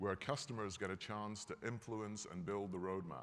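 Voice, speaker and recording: Speaking fairly quickly, a man's voice sits fairly low in pitch. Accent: Scottish. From Scotland. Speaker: company executive. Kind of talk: keynote speech. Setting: stage with audience. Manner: animated.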